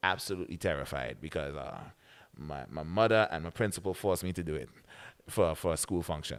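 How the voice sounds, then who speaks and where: A man with a very deep, low pitch and vocal fry talks at a fairly quick pace with ordinary pitch variation. The recording is very clean, the background silent. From British Virgin Islands (Tortola). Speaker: radio announcer and soca artist. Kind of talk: podcast interview.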